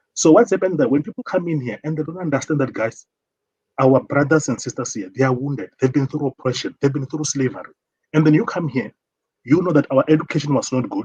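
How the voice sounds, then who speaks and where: Somewhat breathy and fairly high in pitch, a man with a South African accent speaks at a very fast pace with ordinary pitch variation, in a dry, close sound with no echo. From South Africa, Limpopo. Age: 40s. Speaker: caller. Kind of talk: call-in discussion.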